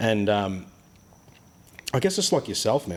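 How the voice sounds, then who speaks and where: Speaking with an Australian accent, the man has a fairly low voice. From Australia, childhood partly in Ghana and Papua New Guinea. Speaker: boat builder. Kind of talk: casual chat. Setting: boat workshop. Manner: animated.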